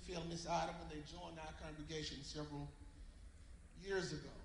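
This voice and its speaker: Noticeable background noise behind a man speaking with an American accent. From US South, Georgia. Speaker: church member. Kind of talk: eulogy tribute. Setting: church.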